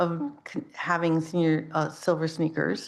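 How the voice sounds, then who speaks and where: The woman's voice has a fairly low pitch. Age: 60s. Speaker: public commenter at town council meeting. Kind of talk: public comment. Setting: town council meeting. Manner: halting.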